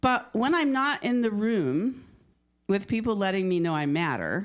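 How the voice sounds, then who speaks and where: A woman at medium pitch speaks with very wide pitch swings on a very clean recording with a silent background. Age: 70s. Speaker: guest speaker at a spiritual church. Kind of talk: sermon. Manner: casual.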